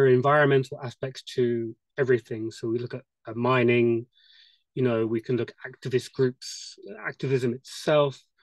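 With a British accent, a man talks at a moderate pace in a flat monotone, the sound dry with no echo and the background quiet. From UK. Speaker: attendee asking questions. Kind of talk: Q&A discussion. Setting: video call. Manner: hesitant. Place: home room. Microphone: video call.

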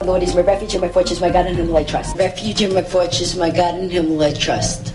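A woman's very fast, fairly low-pitched speech with fairly even intonation, clear music playing in the background. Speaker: comedian. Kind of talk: scripted reading recorded in studio. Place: booth. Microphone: studio mic.

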